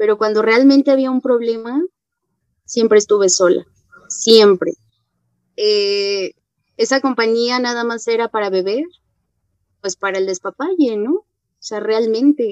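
A woman speaks at a fairly slow pace with a fairly high pitch and ordinary pitch variation, leaving long, frequent pauses in a dry, close sound with no echo. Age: 20s. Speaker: AA member. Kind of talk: testimony.

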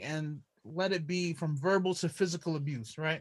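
A man's voice with an American accent, the background quiet. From Brooklyn, New York. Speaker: podcast host.

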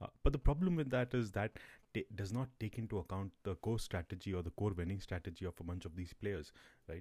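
A man speaks at a fairly quick pace with a fairly low pitch, a dark, mellow tone, ordinary pitch variation and a somewhat breathy quality. The recording is very clean with a silent background and a dry, close sound with no echo. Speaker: podcast host. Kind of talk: solo podcast monologue. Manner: halting, many fillers.

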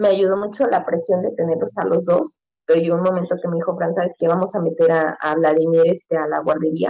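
An unremarkable speaking voice moves at a fairly quick pace with hardly any pauses. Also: woman, fairly low pitch for a woman, fairly even intonation. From Mexico City. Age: 30s. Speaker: mother, podcast guest. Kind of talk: casual chat.

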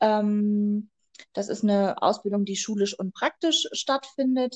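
A woman's fairly high, normal speaking voice with ordinary pitch variation, dry and close with no echo. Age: 20s. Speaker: midwife. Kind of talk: interview.

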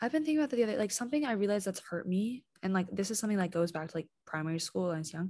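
With lively intonation, the voice has a dark, mellow tone and sounds somewhat breathy. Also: woman. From Hong Kong (expat, Canadian parents). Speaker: podcast co-host. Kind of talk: casual chat. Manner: animated.

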